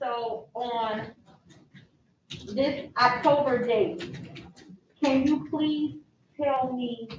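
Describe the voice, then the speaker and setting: A high-pitched woman talks at a very slow pace, leaving long, frequent pauses. Her intonation is lively, and the room echo is audible. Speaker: attorney questioning witness. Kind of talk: courtroom examination.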